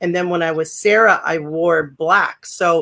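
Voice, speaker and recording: This is a woman speaking with an American accent. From Southern California. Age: 60s. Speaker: former pro wrestler and actress. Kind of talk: interview.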